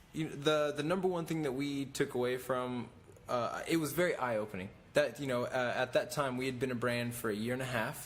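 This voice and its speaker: Ordinary pitch variation marks this American-accented voice, heard with audible room echo. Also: man, medium pitch for a man, fairly quick pace. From Oklahoma. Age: 20s. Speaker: clothing brand owner and former reality TV actor. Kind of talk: podcast interview. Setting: clothing factory. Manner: hesitant with many fillers.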